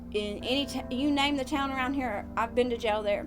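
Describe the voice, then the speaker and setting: A woman talks at a moderate pace with a Southern US accent. Music plays in the background. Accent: Southern American. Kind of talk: personal testimony podcast. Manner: hesitant, many filler words.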